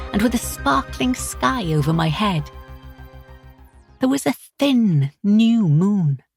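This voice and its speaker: Over music in the background, a woman speaks at a fairly slow pace in a dry, close sound with no echo. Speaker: audiobook narrator. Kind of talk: audiobook narration. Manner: first-person storytelling.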